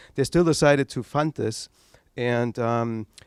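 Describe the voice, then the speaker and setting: With a German accent, a man speaks at medium pitch in a dry, close sound with no echo. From East Germany. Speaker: tech entrepreneur. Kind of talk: talk to an audience. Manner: halting.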